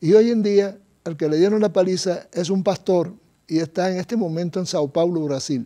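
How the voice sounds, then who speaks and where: This man has a high-pitched voice. His tone is dark and mellow. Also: ordinary pitch variation, moderate pace. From Cuba. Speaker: doctor. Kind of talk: testimony. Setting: studio.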